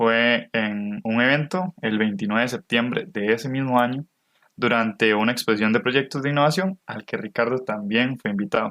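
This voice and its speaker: At a moderate pace and medium pitch, a man talks in a bright, sharp tone with ordinary pitch variation, the sound dry and close with no echo. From Costa Rica. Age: 20s. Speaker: podcast co-host, university student. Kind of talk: scripted podcast narration.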